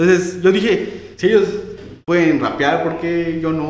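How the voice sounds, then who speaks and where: Here a man speaks at a moderate pace with fairly even intonation. Audible room echo surrounds his voice. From Yucatán, Mexico. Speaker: rapper. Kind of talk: casual chat. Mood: relaxed storytelling. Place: studio.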